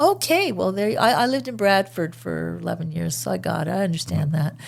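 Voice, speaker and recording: A woman with a Canadian accent, speaking at a fairly quick pace. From Ottawa, Canada. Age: 60s. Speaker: radio host. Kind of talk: casual chat. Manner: animated.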